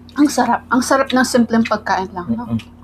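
Against light background noise, a woman speaks at a fairly high pitch and a fairly slow pace. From Philippines. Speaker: food vlogger. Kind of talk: mukbang eating vlog. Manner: casual, giggly. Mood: satisfied, cheerful. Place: home room.

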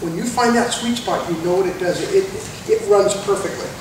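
A man speaks at a fairly quick pace with a high pitch. Room echo is audible, along with noticeable background noise. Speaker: presenter. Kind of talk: tutorial. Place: shop. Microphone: camera far.

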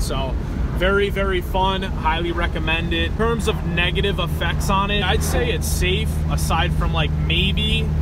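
The recording has a dry sound with no echo but loud background noise. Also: man. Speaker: car enthusiast vlogger. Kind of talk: casual vlog chat. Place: car. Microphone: phone near.

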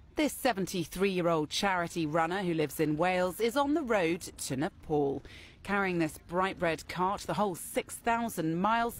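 This is a very clean recording over a silent background. The delivery proceeds at a moderate speed. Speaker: news reporter. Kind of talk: news report narration.

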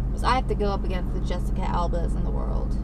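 Loud background noise surrounds a woman speaking at a fairly quick pace. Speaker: actress vlogger. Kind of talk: casual vlog chat. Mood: playful, slightly sultry. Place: car. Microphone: webcam.

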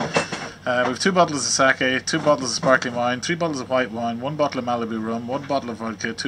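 Noticeable background noise runs under this man's voice. He speaks at a moderate pace with fairly even intonation. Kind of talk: casual vlog chat. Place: boat. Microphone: phone near.

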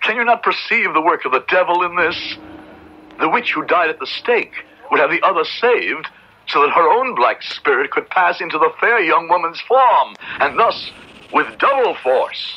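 Putting on a character voice with a slightly husky edge, a man makes big pitch swings. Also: fairly high pitch for a man, moderate pace.

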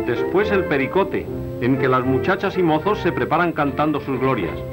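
A man talks fairly quickly while clear music plays in the background. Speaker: newsreel announcer / narrator. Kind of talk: 1940s newsreel documentary narration. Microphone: old recording.

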